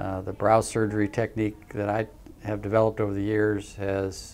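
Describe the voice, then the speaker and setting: Here a man speaks at a moderate pace with a fairly low pitch. His intonation is monotone and flat. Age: 60s. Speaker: facial plastic surgeon. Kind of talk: promotional practice overview. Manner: halting, many fillers.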